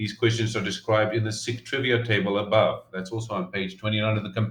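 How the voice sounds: Simply a natural reading voice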